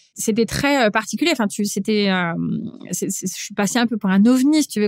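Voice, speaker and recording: At a moderate pace and fairly high pitch, a woman speaks with ordinary pitch variation in a dry, close sound with no echo, on a very clean recording with a silent background. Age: 40s. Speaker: chef. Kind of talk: interview conversation. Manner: hesitant, many fillers.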